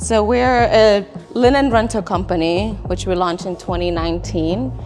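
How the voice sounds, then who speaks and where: A woman with a Spanish accent talks over music in the background, with audible room echo. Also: moderate pace. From Chile, moved to US at age ten. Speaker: business owner. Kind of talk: interview. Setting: office.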